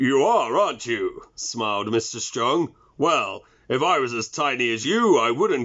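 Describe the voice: What we hear is plain reading aloud.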